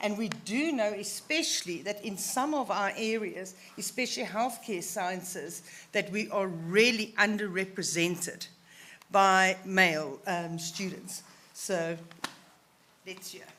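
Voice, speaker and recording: In a room with audible echo, a woman with a bright, sharp, medium-pitched voice speaks at a fairly slow pace, with ordinary pitch variation and big swings in loudness. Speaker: session chair. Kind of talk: conference Q&A moderation.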